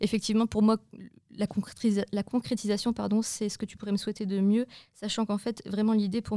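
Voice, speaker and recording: On a very clean recording with a silent background, a woman with a medium-pitched, dark, mellow tone speaks at a fairly quick pace in a flat monotone. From northern France. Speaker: entrepreneur, young parent. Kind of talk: interview.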